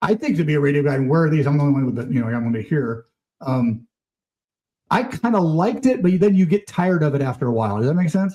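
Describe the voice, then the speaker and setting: Speaking at a very fast pace with an American accent, a man uses a fairly high pitch, a dark, mellow tone and very wide pitch swings, sounding somewhat breathy. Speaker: former radio DJ. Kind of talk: casual interview chat.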